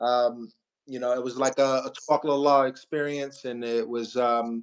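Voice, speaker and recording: His intonation is fairly even. This man's pitch is medium. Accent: American. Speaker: PhD student and English teacher. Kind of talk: casual talk about personal experience. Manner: hesitant, many fillers.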